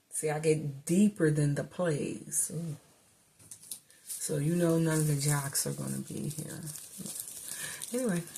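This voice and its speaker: A woman with a fairly low pitch speaks in an animated tone that is somewhat breathy. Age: 50s. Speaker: vlogger / commentator. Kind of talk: casual monologue to camera.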